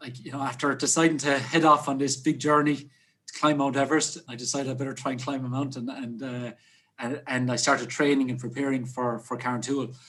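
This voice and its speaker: With an Irish accent, a man speaks at a fairly quick pace in a medium pitch. His intonation is monotone and flat, yet his loudness swings widely. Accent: Irish (Clare). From Ireland, West Clare. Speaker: hotelier and mountaineer. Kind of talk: casual interview chat.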